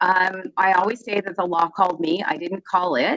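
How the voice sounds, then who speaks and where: A woman talks at a fairly quick pace with a medium pitch. Her sound is dry and close with no echo. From US, Southern California (born in Vancouver, Canada). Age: 60s. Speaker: lawyer. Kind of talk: interview.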